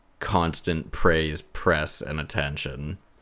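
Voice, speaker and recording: In a very clean recording with a silent background, a man talks at a fairly slow pace. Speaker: podcast host. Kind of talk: casual chat.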